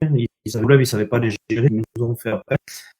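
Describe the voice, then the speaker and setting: A man's dark, mellow, somewhat breathy tone in a dry, close sound with no echo. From southwest France, Landes. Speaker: association founder, former rugby player. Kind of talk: online conference talk. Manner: hesitant, many fillers.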